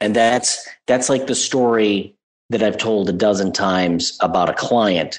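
This man talks at a fairly slow pace in a fairly low pitch, with ordinary pitch variation. His loudness stays very even throughout. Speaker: podcast guest, agile coach. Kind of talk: conversational, professional.

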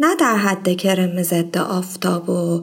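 Her voice is somewhat breathy, a woman speaking at medium pitch. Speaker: podcast host. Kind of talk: personal storytelling monologue.

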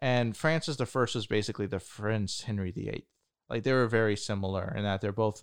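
This man's voice sits at a medium pitch, and he talks at a moderate pace. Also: quiet background. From United States. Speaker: podcast co-host. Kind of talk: casual chat. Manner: hesitant, many fillers.

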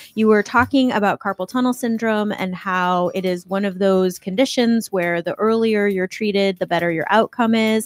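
At a moderate pace and medium pitch, a woman speaks with fairly even intonation and hardly any pauses, in an unremarkable speaking voice. The recording is very clean with a silent background and a dry, close sound with no echo. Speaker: radio co-host, doctor. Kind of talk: casual radio banter.

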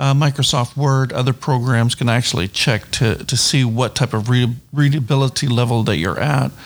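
Speaking in a plain, everyday voice, a man keeps a moderate pace and fairly even intonation at a medium pitch. The recording is very clean, with a silent background. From New Brunswick, Canada. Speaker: missionary and Bible college instructor. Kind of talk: interview.

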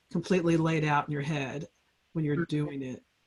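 A somewhat breathy woman's voice at a moderate pace, with fairly even intonation. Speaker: podcast host. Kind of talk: casual interview.

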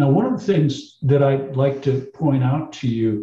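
Somewhat breathy and dark, mellow in tone, a man speaks at medium pitch. He has an American accent. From United States. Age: 60s. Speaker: obstetrician. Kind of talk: interview. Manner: animated.

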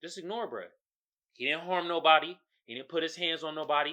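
In a quiet setting, a woman with an American accent speaks fairly quickly in a very deep, low voice with a bright, sharp tone. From San Francisco Bay Area, Oakland. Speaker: podcaster. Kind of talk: casual commentary rant. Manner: animated.

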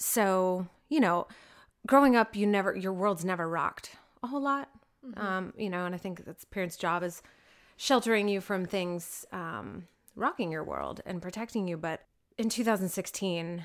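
A woman speaks with an American accent in an unremarkable speaking voice. Her medium pitch has ordinary variation, and her pace is moderate. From Oklahoma City area, US. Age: 30s. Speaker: CBD store owner. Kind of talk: interview.

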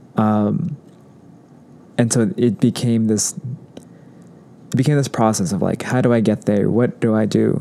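Speaking fairly slowly in a dark, mellow tone, a man with an American accent keeps a medium pitch, ordinary pitch variation and very even loudness. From Orange County, Southern California; Mexican American. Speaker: law student, former yoga instructor. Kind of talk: casual chat.

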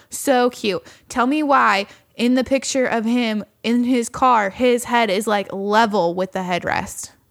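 A woman with an American accent has a plain, everyday voice. She speaks at a fairly slow pace with a fairly high pitch and ordinary pitch variation. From California. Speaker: podcast co-host. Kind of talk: casual chat. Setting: home studio. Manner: laughs often.

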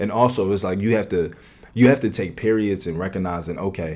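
With an American accent, the voice moves at a fairly quick pace in a dark, mellow tone with ordinary pitch variation. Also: man. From US, West Philadelphia. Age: 20s. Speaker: podcast guest. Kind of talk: casual chat.

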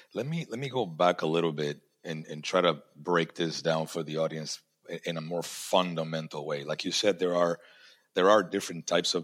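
A man's very deep, low voice at a moderate pace, with fairly even intonation. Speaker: podcast host. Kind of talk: casual interview. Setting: video call.

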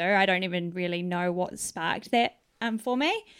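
On a very clean recording with a silent background, a woman with a New Zealand accent speaks at medium pitch in a bright, sharp tone. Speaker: Salvation Army officer. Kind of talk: casual interview. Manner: halting.

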